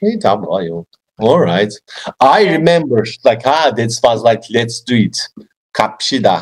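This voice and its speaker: A man with a Turkish accent at a very slow pace, his intonation lively, against a quiet background. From Turkey. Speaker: English learner and YouTuber. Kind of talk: casual chat. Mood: cheerful, laughing. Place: home room. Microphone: video call.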